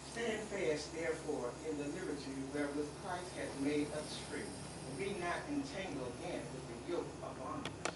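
A man speaks with audible room echo over loud background noise. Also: moderate pace. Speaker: deacon. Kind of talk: group Bible study. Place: church. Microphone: camera far.

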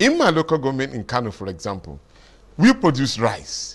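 A man talks at a moderate pace, with vocal fry in his voice. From Nigeria, Lagos; Nigeria. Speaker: politician. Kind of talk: TV studio interview. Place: studio.

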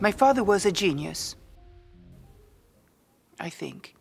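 A woman talks at a fairly slow pace. There is music in the background. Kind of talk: storytelling narration about her father.

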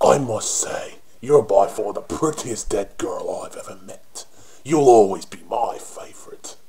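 The speaker uses a raspy, put-on character voice at a fairly slow pace. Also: man. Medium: voice reel. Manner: cocky, flirtatious, mocking.

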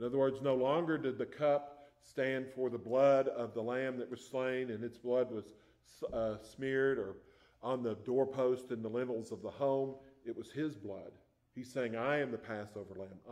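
A man talks with fairly even intonation, and the background stays quiet. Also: moderate pace. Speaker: preacher. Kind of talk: sermon. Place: church. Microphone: podium.

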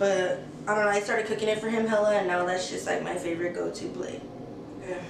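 A woman with an American accent talks at a very fast pace, her intonation fairly even. Noticeable background noise and audible room echo fill the recording. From US West Coast, San Francisco Bay Area (Redwood City). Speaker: YouTuber. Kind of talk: casual Q&A vlog. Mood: relaxed, candid. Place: home room.

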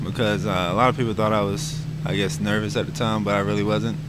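A man's voice, dry with no echo, under loud background noise. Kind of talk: interview answer. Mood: calm, relaxed. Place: hall. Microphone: handheld.

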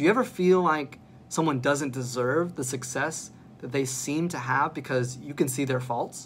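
A man talks at a moderate pace with a fairly high pitch and fairly even intonation. His voice is somewhat breathy, with light background noise behind it. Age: 30s. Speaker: pastor. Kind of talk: sermon. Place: home room.

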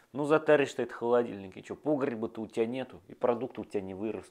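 Quiet background behind a man's voice. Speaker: video blogger. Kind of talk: monologue to camera. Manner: animated. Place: home room. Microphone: lapel.

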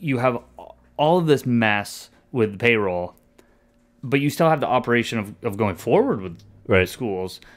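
The speech runs at a moderate pace with lively intonation. Long pauses come often. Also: man. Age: 40s. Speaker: podcast co-host discussing school district. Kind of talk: casual chat. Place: home room. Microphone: studio mic.

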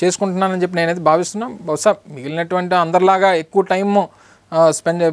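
Here a man speaks at a high pitch. His intonation is fairly even. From Andhra Pradesh, India. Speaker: state government minister; politician interviewee. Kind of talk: interview. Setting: studio. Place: studio. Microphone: lapel.

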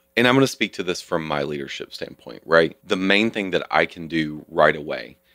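With a Southern US accent, a man talks at a fairly quick pace in a very deep, low pitch. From US South. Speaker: nonprofit community leader. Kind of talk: interview.

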